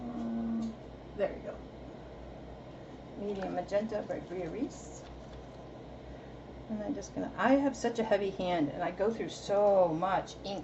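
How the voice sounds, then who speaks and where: In an American accent, the speaker talks at a fairly slow pace with very wide pitch swings and long, frequent pauses. Audible room echo and noticeable background noise fill the recording. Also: woman, medium pitch for a woman. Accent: East Coast accent noticed by viewers. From Massachusetts, US. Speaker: artist. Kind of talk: live stream tutorial. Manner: casual, halting.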